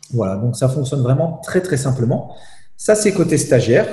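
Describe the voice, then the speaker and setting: A man with a medium pitch and a dark, mellow, somewhat breathy tone speaks at a moderate pace. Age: 40s. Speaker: CEO and business speaker. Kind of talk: interview. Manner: hesitant, with many repetitions.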